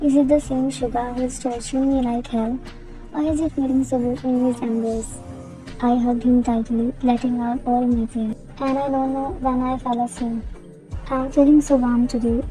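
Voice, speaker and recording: With music in the background, a woman speaks at a moderate pace in a high pitch and a monotone, flat intonation. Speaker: fan fiction voice cover reader. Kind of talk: read fan fiction story with character dialogue. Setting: noisy room. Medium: read story.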